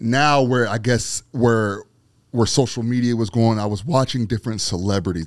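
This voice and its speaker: On a very clean recording with a silent background, a man with a fairly low pitch and an unremarkable speaking voice talks at a fairly quick pace. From Aliquippa, western Pennsylvania. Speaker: street photographer and former radio host. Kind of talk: casual interview chat.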